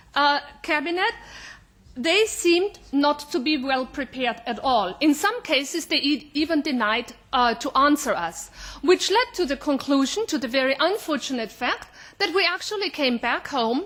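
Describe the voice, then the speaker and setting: A woman's high voice swings very widely in pitch at a moderate pace, with noticeable background noise. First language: German. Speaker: member of parliament, delegation head. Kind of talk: committee report. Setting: parliament committee meeting. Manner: formal, with frequent hesitations.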